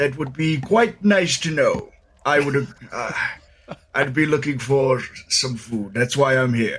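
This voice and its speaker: Using a put-on character voice, a man speaks at a fairly high pitch. He moves at a fairly slow pace with long, frequent pauses. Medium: actual play. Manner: slow, food-minded.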